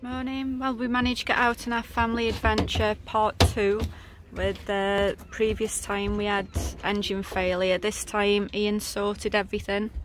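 At a moderate pace, a woman speaks in a monotone, flat delivery, with noticeable background noise and a dry sound with no echo. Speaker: family sailor vlogger. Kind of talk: casual vlog chat. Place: boat. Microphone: phone near.

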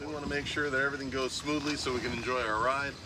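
This man talks with noticeable background noise audible throughout. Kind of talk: safety briefing. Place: boat. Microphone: phone near.

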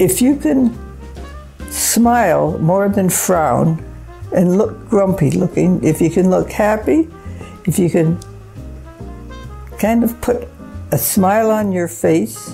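Faint music plays in the background as a woman speaks at a very slow pace. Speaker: grandmother giving advice. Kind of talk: interview answer. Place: home room.

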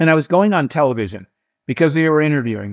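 The background is quiet and the sound dry with no echo. A man talks with ordinary pitch variation. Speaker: interview guest. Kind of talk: interview answer, storytelling. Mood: animated, amused. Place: home room. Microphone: webcam.

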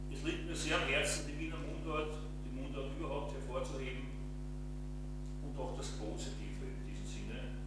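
A man at a moderate pace with long, frequent pauses, amid loud background noise and audible room echo. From Vienna, Austria. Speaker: poet. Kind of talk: poetry reading. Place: home room.

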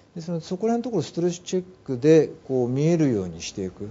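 A somewhat breathy male voice at a fairly quick pace, with very wide pitch swings over light background noise. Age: 50s. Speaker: mental health management consultant; guest. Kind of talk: interview. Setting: studio. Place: studio. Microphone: lapel.

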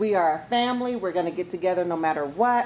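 A woman's voice with lively intonation amid noticeable background noise. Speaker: family reunion organizer. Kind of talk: casual family gathering. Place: hall. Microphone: camera far.

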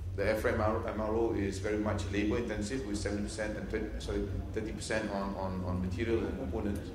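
In a room with audible echo and light background noise, a man talks at a moderate pace with a fairly low pitch and ordinary pitch variation. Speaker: presenter. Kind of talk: conference presentation. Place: hall. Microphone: podium.

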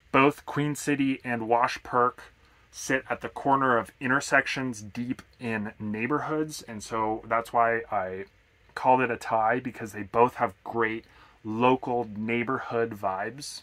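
The man's tone is bright and sharp. He talks at a fairly slow pace with fairly even intonation. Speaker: remote worker reviewing coffee shops. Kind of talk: casual vlog chat. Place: home room.

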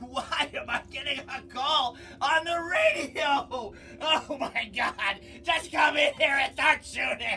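Shouting at a fairly slow pace, a man's voice sits at an extremely high pitch over clear background noise. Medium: comedy sketch. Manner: panicked, screaming.

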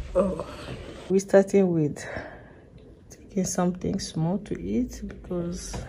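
Over light background noise, a woman talks at a very slow pace. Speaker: expectant mother vlogger. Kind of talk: casual vlog chat. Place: hall. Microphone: phone near.

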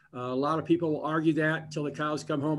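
A man's fairly high-pitched, an unremarkable speaking voice with fairly even intonation and a quiet background. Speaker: economic development executive; webinar panelist. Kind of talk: panel discussion. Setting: phone call. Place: office. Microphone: video call.

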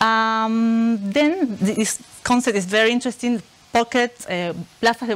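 A woman with an Argentine accent speaks at a fairly slow pace. Her pitch is fairly high, with ordinary pitch variation. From Argentina, Buenos Aires. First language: Spanish. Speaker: researcher. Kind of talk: lecture. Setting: stage with audience. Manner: halting, many fillers. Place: classroom.

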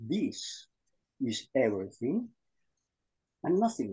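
Over a quiet background, a man speaks at a very slow pace. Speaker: group session participant. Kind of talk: spiritual sharing. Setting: video call. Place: home room. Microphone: video call.

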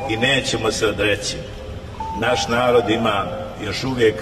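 Clear music is heard in the background. Over it, a man speaks at a fairly slow pace with ordinary pitch variation. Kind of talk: sermon. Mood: firm, defiant conviction.

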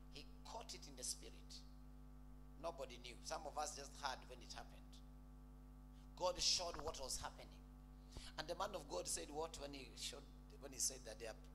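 A man speaks fairly quickly while noticeable noise runs behind him. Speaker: preacher. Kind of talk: sermon. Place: church. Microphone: handheld.

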